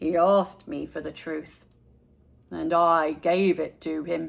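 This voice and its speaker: Putting on a character voice, a woman talks at a fairly slow pace in a raspy, fairly low voice with monotone, flat intonation. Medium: read story.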